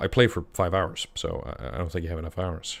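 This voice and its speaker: On a very clean recording with a silent background, a man speaks in an Icelandic accent at a very deep, low pitch. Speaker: game master streamer. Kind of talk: live stream chat. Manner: halting, many fillers and restarts.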